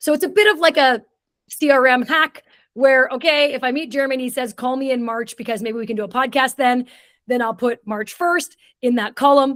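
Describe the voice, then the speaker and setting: On a very clean recording with a silent background, a woman speaks in an animated tone at a high pitch and a fairly quick pace. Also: ordinary pitch variation. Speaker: international speaker and community builder. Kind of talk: podcast interview. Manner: fast.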